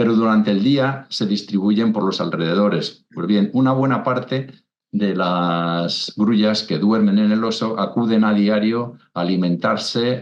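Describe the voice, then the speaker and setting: This man speaks at a fairly slow pace with a fairly low pitch. His pitch variation is ordinary. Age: 60s. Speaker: naturalist, wetland expert. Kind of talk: interview. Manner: halting, many repetitions and fillers.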